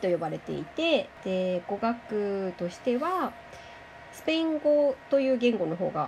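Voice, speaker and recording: A fairly slow pace marked by very wide pitch swings and big swings in loudness. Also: woman. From Japan. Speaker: language teacher. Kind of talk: interview. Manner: animated.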